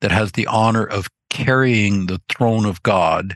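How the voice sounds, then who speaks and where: A man with an American accent speaks at a fairly slow pace and medium pitch, with ordinary pitch variation. It is an unremarkable speaking voice, recorded with a dry, close sound and no echo. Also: quiet background. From Ozarks of Missouri. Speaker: theology professor. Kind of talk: interview. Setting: video call.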